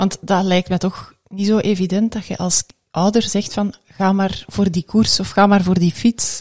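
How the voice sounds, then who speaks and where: Against a quiet background, a woman talks at a fairly slow pace in a somewhat breathy voice with monotone, flat intonation. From Belgium. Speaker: podcast host. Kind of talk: interview. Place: studio. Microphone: studio mic.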